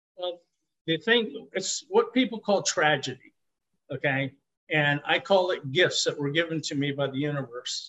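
At a moderate pace, a man in an unremarkable speaking voice uses lively intonation at a fairly high pitch. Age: 60s. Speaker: nonprofit founder. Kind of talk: interview. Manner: upbeat.

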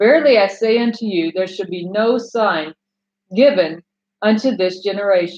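A woman speaks in an unremarkable speaking voice at a moderate pace. Her pitch is medium with ordinary pitch variation. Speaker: bible teacher. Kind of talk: scripture reading and teaching.

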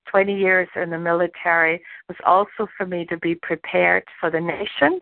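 A woman speaks with a German accent. Her pace is moderate and her intonation fairly even. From Germany. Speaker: pastor. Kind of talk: sermon.

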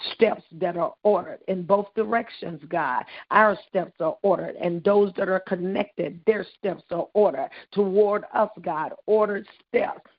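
A woman talks in a normal speaking voice at a moderate pace, her medium pitch showing ordinary pitch variation. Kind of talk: intercessory prayer. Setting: phone call. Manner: fervent, repetitive declarations.

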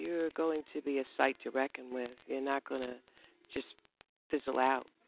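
A woman with an American accent, very deep, low pitch, ordinary pitch variation and a fairly slow pace. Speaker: poet. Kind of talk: poetry performance.

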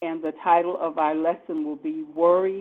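This is a woman with a normal speaking voice. Her pitch is fairly low, with ordinary variation. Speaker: church service announcer. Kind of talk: formal welcome and announcements.

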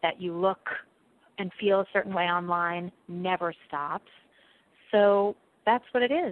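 A woman with an American accent speaks at a fairly slow pace, her intonation fairly even. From New York City. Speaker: PR firm founder. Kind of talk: interview.

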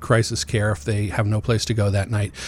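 A man's voice comes across as somewhat breathy. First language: Amharic. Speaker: executive director of a youth homeless shelter nonprofit. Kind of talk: radio interview.

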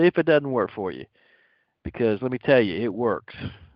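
Pitched at a medium level, a man speaks with lively intonation. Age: 50s. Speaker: lay spiritual teacher. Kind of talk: spiritual teaching talk. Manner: halting, many fillers.

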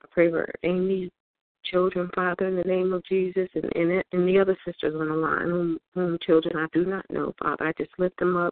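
The intonation is monotone and flat. The pace is fairly quick. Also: woman, fairly low pitch for a woman. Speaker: prayer participant. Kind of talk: fervent prayer. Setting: phone conference call. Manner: earnest, repeating 'Father' between phrases.

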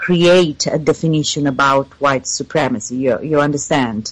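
A woman with an Italian accent speaks. Her pitch is very deep and low, with ordinary variation. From Italy. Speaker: PhD researcher in water science. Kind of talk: interview. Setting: remote call. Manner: halting, many fillers.

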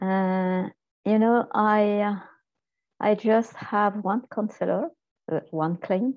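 Speaking with a French accent, a woman has a medium pitch and fairly even intonation. Her pace is very slow, with long, frequent pauses. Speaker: spiritual counseling student. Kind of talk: casual chat on video call.

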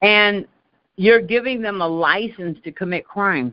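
With an American accent and an unremarkable speaking voice, a woman talks at a moderate pace. Her pitch is medium, with ordinary variation. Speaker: call host. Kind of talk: community call discussion. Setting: phone call.

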